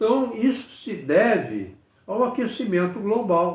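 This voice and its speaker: Very slowly, a man speaks with audible room echo. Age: 80s+. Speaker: engineer giving political commentary. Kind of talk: political monologue to camera. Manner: halting, with repetitions.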